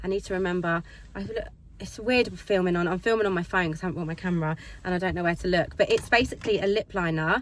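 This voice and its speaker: A woman in an English accent at a very fast pace, with fairly even intonation and noticeable background noise. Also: medium pitch for a woman. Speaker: lifestyle vlogger. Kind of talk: casual vlog chat. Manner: loud.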